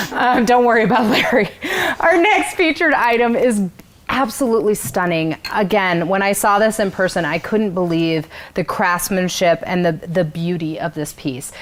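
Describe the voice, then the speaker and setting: Amid noticeable background noise, a woman speaks at a medium pitch and a moderate pace, with lively intonation and an animated tone. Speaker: event host. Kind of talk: live event hosting. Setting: virtual gala livestream. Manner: loud.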